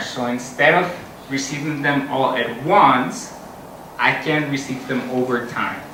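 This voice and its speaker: Amid noticeable background noise and audible room echo, a man with a Spanish accent speaks at a fairly high pitch and moderate pace with fairly even intonation. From Costa Rica. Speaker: software engineer, conference speaker. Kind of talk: conference talk.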